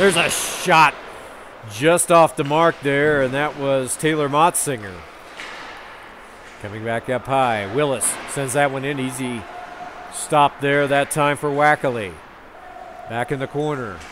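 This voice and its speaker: A man's fairly high voice at a fairly slow pace, with ordinary pitch variation, long, frequent pauses and noticeable background noise. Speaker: hockey play-by-play announcer. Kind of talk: live commentary. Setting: ice rink arena.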